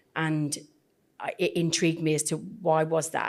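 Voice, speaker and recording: A woman with a British accent, very deep, low pitch and monotone, flat intonation, on a very clean recording with a silent background. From UK. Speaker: podcast host, cultural intelligence trainer. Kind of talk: podcast interview.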